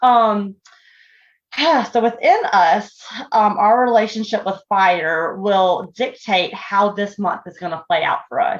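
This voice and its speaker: A strong Southern US accent at a very slow pace. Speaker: podcast host. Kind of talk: casual chat.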